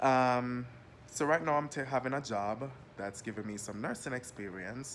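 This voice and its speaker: A man at medium pitch, moderate pace and ordinary pitch variation. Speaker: nursing student and health assistant. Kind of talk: casual vlog monologue. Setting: lying down at home. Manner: casual, unscripted.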